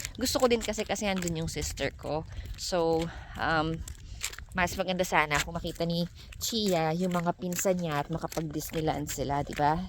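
With noticeable background noise, a woman speaks at a moderate pace in a fairly low pitch with ordinary pitch variation. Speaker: vlogger. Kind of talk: cooking tutorial; casual vlog narration.

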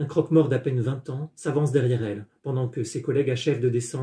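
The clip has a natural reading voice with fairly even intonation.

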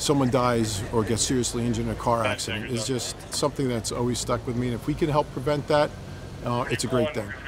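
Talking at a very fast pace with fairly even intonation, a man is heard over noticeable background noise. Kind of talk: interview answer. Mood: serious, earnest.

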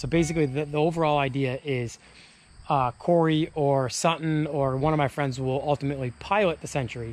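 At a moderate pace and with ordinary pitch variation, a man speaks in a dry recording with no echo. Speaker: car builder vlogger. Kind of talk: casual vlog chat. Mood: excited about project. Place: open country. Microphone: phone near.

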